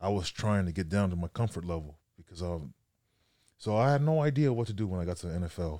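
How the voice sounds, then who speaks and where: On a very clean recording with a silent background, a man with an American accent speaks very fast, his very deep, low voice dark and mellow in tone. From Sacramento, California. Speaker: strength coach and former football player. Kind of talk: casual chat.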